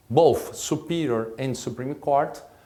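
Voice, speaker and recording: Here a man with a Brazilian Portuguese accent speaks at a fairly high pitch with ordinary pitch variation and a very slow pace. Audible room echo surrounds his voice. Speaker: state prosecutor and law professor. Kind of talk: lecture. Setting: recorded lecture at a school. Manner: halting, with false starts.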